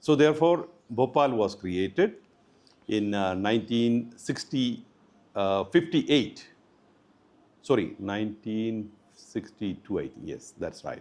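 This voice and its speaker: Pausing long and often, a man speaks at a fairly slow pace and medium pitch, with lively intonation and big swings in loudness. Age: 60s. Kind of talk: interview. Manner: hesitant, many fillers.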